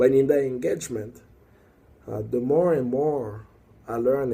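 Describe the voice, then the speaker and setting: A man speaks at medium pitch and a moderate pace, his tone dark and mellow. His voice is somewhat breathy. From Congo. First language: French or Lingala/Swahili. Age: young. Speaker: activist. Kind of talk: video monologue. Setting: working late, recorded alone. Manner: halting.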